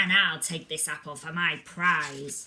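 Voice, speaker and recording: The speaker puts on a character voice at a middle pitch. The pace is fairly slow. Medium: read story. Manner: grand, boastful.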